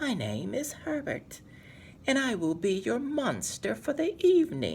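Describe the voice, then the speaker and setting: Over clear background noise, a put-on character voice speaks at a fairly high pitch and a fairly slow pace. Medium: read story.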